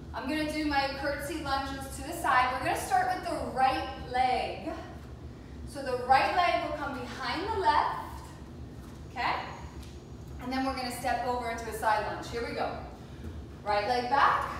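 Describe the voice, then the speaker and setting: A woman with a high-pitched voice talks at a moderate pace with ordinary pitch variation and long, frequent pauses. Strong room echo and light background noise fill the recording. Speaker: fitness instructor. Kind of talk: workout instruction. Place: home room.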